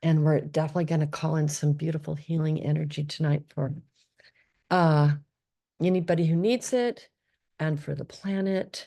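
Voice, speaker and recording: Fairly even intonation runs through a voice with a dark, mellow tone. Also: woman. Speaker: meditation guide. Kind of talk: guided meditation intro.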